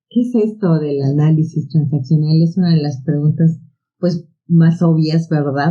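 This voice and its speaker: With fairly even intonation and a somewhat breathy sound, the delivery is fairly slow. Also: woman. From Mexico City (Tepito). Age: 60s. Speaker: psychotherapist and biologist. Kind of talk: podcast interview.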